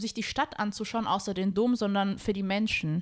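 The recording is very clean, with a silent background. A woman talks in an animated tone at a moderate pace. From Germany. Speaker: podcast guest. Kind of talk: casual chat.

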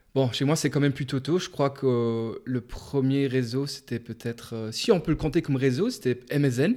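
A man's dark, mellow, medium-pitched voice at a moderate pace, with ordinary pitch variation and hardly any pauses. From Luxembourg. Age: 20s. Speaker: psychology student and podcaster. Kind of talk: casual interview.

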